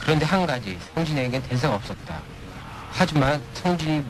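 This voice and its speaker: Over noticeable background noise and audible room echo, a man speaks at a moderate pace. His pitch is fairly high and his intonation lively. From partly raised in the US. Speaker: radio guest. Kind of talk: reading aloud a listener story. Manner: halting, repeats words.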